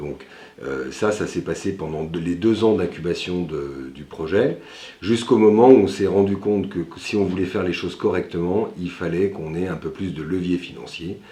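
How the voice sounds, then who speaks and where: This man's very deep, low voice has a dark, mellow tone, vocal fry and ordinary pitch variation. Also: moderate pace. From France, Lyon area (Villeurbanne). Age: 40s. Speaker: entrepreneur, company founder. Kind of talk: interview portrait. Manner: frequent hesitations (euh).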